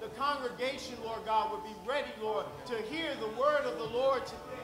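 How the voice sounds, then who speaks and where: A man with an extremely high pitch talks at a moderate pace, with ordinary pitch variation and noticeable background noise. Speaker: church leader giving welcome and prayer. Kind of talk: prayer and welcome. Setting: church. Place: church.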